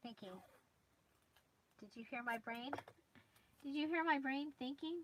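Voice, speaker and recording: A woman speaks quietly in a high pitch, with light background noise behind her. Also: ordinary pitch variation, moderate pace, big swings in loudness. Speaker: crafting youtuber. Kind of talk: live stream craft tutorial. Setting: livestream at craft desk, noisy chair. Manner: quiet while working; halting, hesitant. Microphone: phone near.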